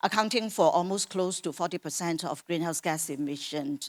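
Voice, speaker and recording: The voice moves at a moderate pace with ordinary pitch variation, recorded very clean with a silent background and a dry, close sound with no echo. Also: woman. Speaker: corporate sustainability expert. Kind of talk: panel discussion. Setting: conference stage with audience. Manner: loud.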